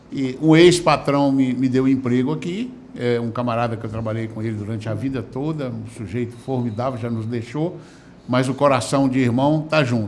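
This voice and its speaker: A man speaks at a medium pitch and a moderate pace, with ordinary pitch variation and audible room echo. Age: 60s. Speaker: lawyer and activist. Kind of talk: interview. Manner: halting, many filler words.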